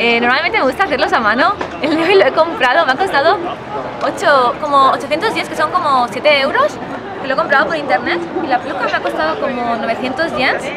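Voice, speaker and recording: A woman talks at a fairly quick pace in a raised, projected voice over crowd noise in the background. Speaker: vlogger in cosplay. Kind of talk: casual vlog chat. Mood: cheerful, smiling. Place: street. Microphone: phone near.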